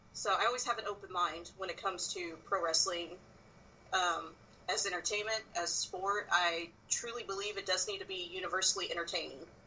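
Talking fairly quickly with an American accent, a woman has an unremarkable speaking voice. Her pitch is medium and her intonation fairly even. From South Texas. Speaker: wrestling writer. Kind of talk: casual interview.

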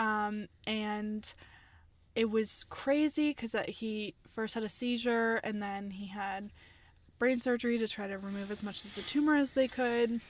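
This is a normal speaking voice. The pace is fairly slow. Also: woman. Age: 20s. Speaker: poet and screenwriter. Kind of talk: casual chat.

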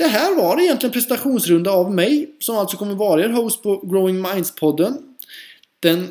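This man's voice is pitched high. His pace is moderate. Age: 30s. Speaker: podcast host and teacher. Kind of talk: solo podcast monologue.

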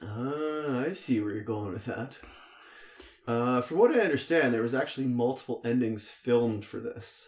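Music plays in the background. The voice moves at a moderate pace with ordinary pitch variation. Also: man, medium pitch for a man. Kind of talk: casual chat. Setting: home basement.

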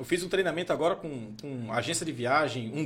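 The pitch moves in an ordinary way, at a moderate pace. It is an unremarkable speaking voice. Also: man. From Goiás, Brazil. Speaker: podcast host. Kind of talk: casual chat.

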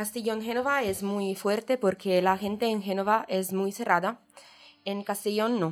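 Fairly even intonation marks this woman's speech. She has a medium pitch and speaks with an Italian accent. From Italy, Genoa. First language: Italian (speaking Spanish). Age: 20s. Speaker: exchange student. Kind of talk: casual chat. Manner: halting.

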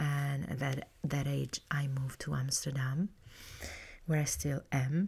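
A woman with an Italian accent speaks very slowly in a very deep, low, somewhat breathy voice with fairly even intonation. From Italy (Puglia, Bari area). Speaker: cooking teacher. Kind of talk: casual solo monologue. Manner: hesitant, many fillers.

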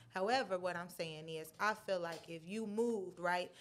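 A woman talks in a normal speaking voice at a medium pitch. Her intonation is lively. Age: 20s. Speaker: podcast co-host. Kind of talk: casual chat.

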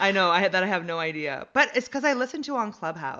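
With an American accent, a woman speaks at a fairly quick pace, her pitch swinging very widely. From US West Coast, San Jose area. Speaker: comedian and actor. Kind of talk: casual chat. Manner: rambling, halting.

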